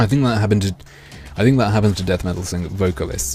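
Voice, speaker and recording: A man with an American accent speaks at a very fast pace in a very deep, low voice with lively intonation, over noticeable background noise. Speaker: gaming streamer. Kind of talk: live stream chat.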